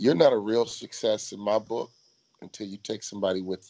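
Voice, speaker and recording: A man's fairly low voice carries a dark, mellow tone. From Chicago, US. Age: 50s. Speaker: motivational speaker, former pro basketball player. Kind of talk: interview. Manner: animated.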